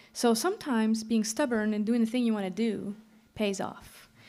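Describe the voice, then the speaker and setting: The speaker talks at a moderate pace with fairly even intonation and a slight Quebec accent. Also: woman. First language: French. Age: 30s. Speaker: singer-songwriter. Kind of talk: stage banter between songs. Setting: live stage with audience. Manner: casual, chatty.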